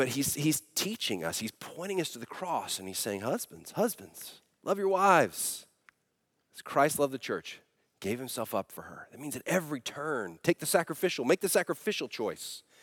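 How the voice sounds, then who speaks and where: A man's voice shows vocal fry, very wide pitch swings and big swings in loudness. The recording is very clean with a silent background and a dry, close sound with no echo. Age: 40s. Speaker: pastor. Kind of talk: sermon.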